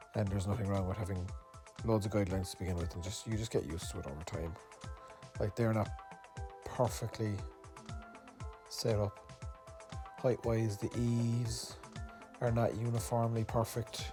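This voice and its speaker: Over music in the background, a man with a Cork accent talks in a relaxed tone at a moderate pace, his fairly low pitch showing ordinary variation, with long, frequent pauses. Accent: Irish, Cork. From Ireland. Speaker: artist. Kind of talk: casual tutorial narration. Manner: relaxed, hesitant.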